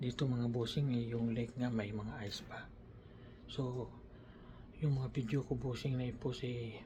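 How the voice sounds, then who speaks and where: With audible room echo, a man speaks in a dark, mellow, somewhat breathy tone, with monotone, flat intonation at a fairly slow pace broken by long, frequent pauses. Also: medium pitch for a man. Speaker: vlogger. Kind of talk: casual vlog. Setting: small room at a work camp. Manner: halting.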